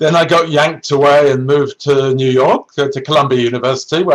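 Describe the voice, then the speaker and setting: With a British accent, a man speaks at a moderate pace, his fairly high voice held in a fairly even intonation. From Britain. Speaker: neuroscientist and research executive. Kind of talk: career talk to students. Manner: halting, with many self-corrections.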